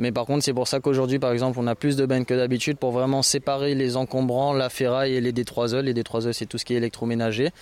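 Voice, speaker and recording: This man speaks at a very fast pace and medium pitch. His loudness stays very even and his intonation monotone and flat. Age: 20s. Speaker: volunteer association founder. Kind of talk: interview; briefing volunteers.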